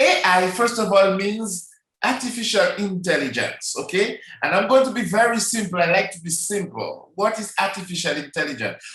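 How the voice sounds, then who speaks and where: Amid audible room echo, a man with a high voice speaks at a moderate pace, with ordinary pitch variation and big swings in loudness. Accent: Caribbean. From Dominica, Caribbean. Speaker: network marketing presenter. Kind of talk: online sales presentation. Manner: hesitant, many fillers; enthusiastic.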